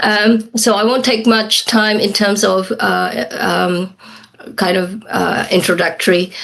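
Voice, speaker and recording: A woman's medium-pitched voice at a very slow pace, fairly even in intonation, over noticeable background noise. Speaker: academic lecturer. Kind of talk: academic lecture. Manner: halting, many fillers.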